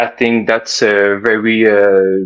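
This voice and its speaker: A man speaks with a Quebec accent. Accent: French Canadian accent in English. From Quebec, French Canada. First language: French. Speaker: caller. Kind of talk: call-in chat. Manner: halting, many fillers.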